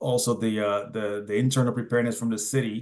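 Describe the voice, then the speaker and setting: With a Spanish accent, a man at medium pitch talks at a fairly quick pace in fairly even intonation. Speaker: city emergency manager. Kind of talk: presentation at community meeting. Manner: halting, many repetitions and fillers.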